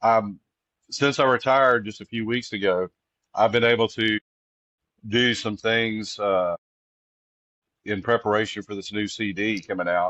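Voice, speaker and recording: In a Texas accent, a man speaks at a moderate pace and medium pitch with fairly even intonation. He leaves long, frequent pauses. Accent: Texas Southern. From Texas Gulf Coast. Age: 60s. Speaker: singer-songwriter. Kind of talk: casual interview. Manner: halting, many fillers.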